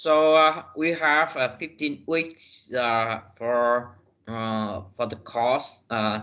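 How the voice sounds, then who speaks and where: Lively intonation runs through the speech. It carries a non-native accent. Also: man. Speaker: university lecturer. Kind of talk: lecture. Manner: halting, many fillers.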